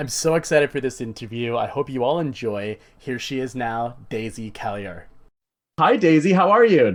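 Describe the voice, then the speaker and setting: A man with a medium pitch talks at a moderate pace with lively intonation. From Canada. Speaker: podcast host. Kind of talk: podcast interview.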